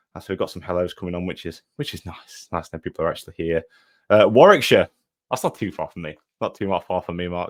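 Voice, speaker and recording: The dry, close sound with no echo carries a man talking at a very fast pace with big swings in loudness. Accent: East Midlands. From English Midlands, between Nottinghamshire and Derbyshire. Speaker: online fitness business coach. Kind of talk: live online workshop. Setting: livestream. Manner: casual, filler-heavy.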